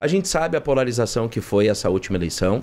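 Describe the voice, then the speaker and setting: A man's lively intonation with vocal fry. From Rio Grande do Sul, Brazil. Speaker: mayor. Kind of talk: broadcast interview. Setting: studio. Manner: halting. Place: studio. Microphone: studio mic.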